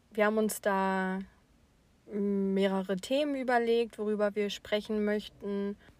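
With an unremarkable speaking voice, a woman talks at medium pitch and a fairly slow pace in a dry, close sound with no echo. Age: 20s. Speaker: podcast co-host. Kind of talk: casual chat.

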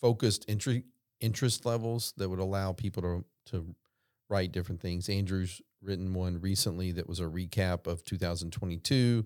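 Recorded very cleanly against a silent background, with a dry, close sound and no echo, a man uses an ordinary speaking voice at fairly low pitch, moderate pace and fairly even intonation. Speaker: financial advisor. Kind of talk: casual professional roundtable discussion.

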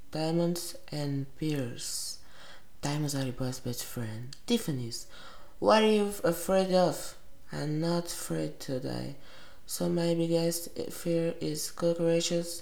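A woman with a Portuguese accent speaks very slowly at a fairly low pitch with lively intonation, amid noticeable background noise and audible room echo. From Brazil. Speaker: vlogger. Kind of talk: casual self-interview. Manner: giggly.

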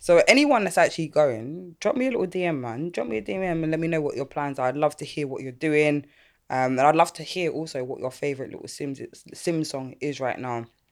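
A woman with a London accent speaks at a very deep, low pitch with big swings in loudness. The recording is very clean with a silent background. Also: ordinary pitch variation, fairly quick pace. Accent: London Multicultural English. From London, Catford, South East. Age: 30s. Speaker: podcast host. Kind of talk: casual chat.

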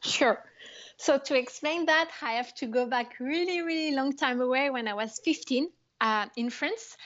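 A woman's high voice in a French accent, with ordinary pitch variation and a fairly slow pace. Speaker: startup founder. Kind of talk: interview. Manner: hesitant.

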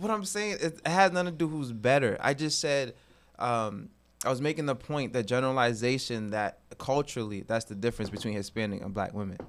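A man with an American accent and an unremarkable speaking voice talks at a fairly quick pace and medium pitch, with lively intonation. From Massachusetts. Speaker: teacher and mentor. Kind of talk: casual chat. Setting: studio.

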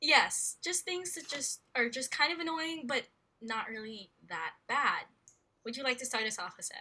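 A woman with an American accent speaks in a bright, sharp tone, her voice raised and projected, high-pitched, at a fairly slow pace. Her loudness swings widely and her pitch swings very widely. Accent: American-sounding English. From Philippines. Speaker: podcast co-host. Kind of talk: casual chat. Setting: remote recording.

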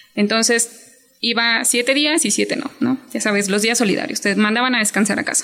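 Speech with fairly even intonation and hardly any pauses comes through over noticeable background noise. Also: woman, fairly high pitch for a woman, moderate pace. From Chiapas, Mexico. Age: 20s. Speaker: hotel worker and small business owner. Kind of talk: interview.

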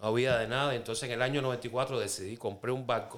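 Here a man talks at a moderate pace with medium pitch. He has a Cuban accent. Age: 50s. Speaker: Cuban immigrant sharing life story. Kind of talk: testimony. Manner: casual, conversational.

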